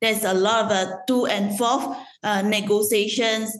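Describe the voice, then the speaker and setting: A woman speaks at a moderate pace in a fairly high pitch with fairly even intonation, with audible room echo. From Malaysia. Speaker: loyalty program executive. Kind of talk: interview. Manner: halting, many fillers.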